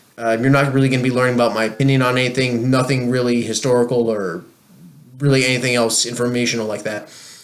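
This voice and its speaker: In a New Jersey accent, a man talks at a very fast pace with a medium pitch and fairly even intonation. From New Jersey, USA. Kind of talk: casual talk to camera.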